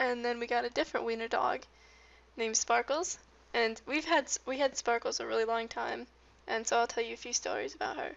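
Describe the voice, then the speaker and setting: A woman mumbles at a fairly quick pace. Her pitch is high, with ordinary variation. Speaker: gaming youtuber. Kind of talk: casual chat. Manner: mumbling.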